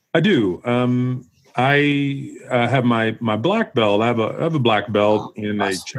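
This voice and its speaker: An ordinary speaking voice from a man at a medium pitch and moderate pace, with ordinary pitch variation. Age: 40s. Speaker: retired police officer and gym owner. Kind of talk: casual interview.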